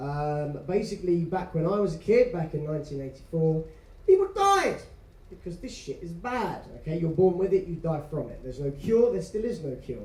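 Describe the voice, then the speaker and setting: A man with an English accent talks at a moderate pace, his pitch high for a man with ordinary variation. Audible room echo surrounds him. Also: big swings in loudness. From England. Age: 30s. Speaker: business owner and speaker. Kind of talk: motivational talk. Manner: soft-spoken.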